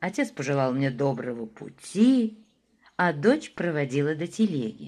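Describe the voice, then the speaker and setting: Her pitch swings very widely as this woman speaks at a fairly slow pace. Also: very clean recording, silent background. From Moscow. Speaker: actress. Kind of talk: audiobook reading of classic prose.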